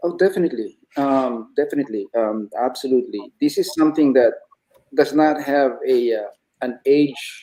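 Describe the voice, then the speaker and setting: A man with a fairly high pitch and ordinary pitch variation talks at a moderate pace in a normal speaking voice. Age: 60s. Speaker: retiree turned online entrepreneur. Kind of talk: interview conversation.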